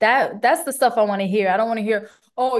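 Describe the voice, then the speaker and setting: The woman's pitch sits fairly high, with ordinary variation. The background is quiet. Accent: Bronx. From New York, the Bronx. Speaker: singer. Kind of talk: casual chat. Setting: remote interview.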